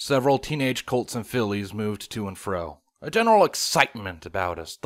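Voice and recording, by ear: With lively intonation, someone reads aloud in a natural voice over a quiet background.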